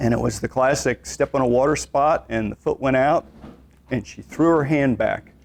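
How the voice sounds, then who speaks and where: A man's unremarkable speaking voice, medium in pitch with ordinary pitch variation, at a fairly slow pace. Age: 60s. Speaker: exercise instructor. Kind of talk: lecture. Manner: conversational.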